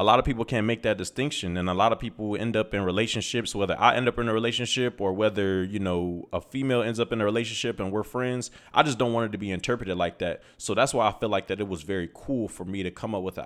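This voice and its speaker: Energetic in tone, a man with an American accent speaks very fast at a fairly low pitch with ordinary pitch variation. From US Midwest, Toledo, Ohio. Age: 20s. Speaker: podcast host. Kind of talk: casual monologue.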